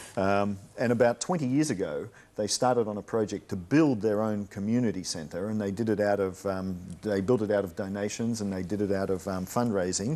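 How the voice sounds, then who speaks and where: At a fairly quick pace, a man speaks in a fairly low voice with a dark, mellow tone and ordinary pitch variation. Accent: Australian. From Australia, Melbourne. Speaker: guest speaker on English-learning show. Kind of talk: narration of home video and interview. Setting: TV studio. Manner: hesitant, with fillers.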